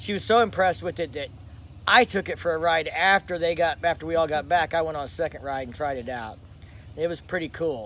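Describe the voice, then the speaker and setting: Loud and fairly quick, a man speaks in a fairly high voice with a bright, sharp tone and lively intonation. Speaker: motorcycle vlogger. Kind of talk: live stream chat. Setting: rented lake house. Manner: casual.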